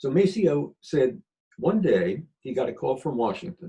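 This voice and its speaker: A man with an American accent speaks in a fairly high pitch with a dark, mellow tone. His pitch swings very widely, with vocal fry. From Philadelphia. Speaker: retired government attorney. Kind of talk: storytelling interview.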